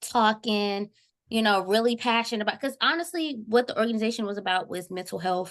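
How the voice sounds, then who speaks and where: Against a quiet background, a woman with an American accent and a normal speaking voice talks at a fairly quick pace in a fairly high pitch with ordinary pitch variation. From Texas, Houston (Acres Home). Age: 20s. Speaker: university student. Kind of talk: casual podcast conversation.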